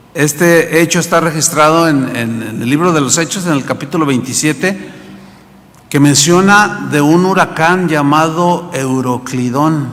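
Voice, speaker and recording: Noticeable background noise sits behind a man speaking at a fairly slow pace. He has a fairly high pitch and ordinary pitch variation. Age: 60s. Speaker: pastor. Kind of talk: sermon. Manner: conversational, with repetitions.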